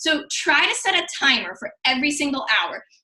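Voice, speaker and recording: A woman's high, raised and projected voice with a bright, sharp tone. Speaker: fitness coach. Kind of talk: tutorial. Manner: fast.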